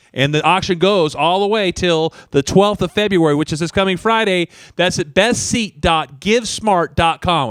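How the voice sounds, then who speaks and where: At a moderate pace with hardly any pauses, a man speaks in a high voice with ordinary pitch variation, recorded dry and close with no echo. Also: very clean recording, silent background. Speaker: charity auction livestream co-host.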